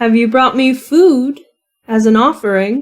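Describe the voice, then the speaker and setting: A woman puts on a high-pitched character voice and speaks at a fairly slow pace. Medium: actual play. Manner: stately, haughty.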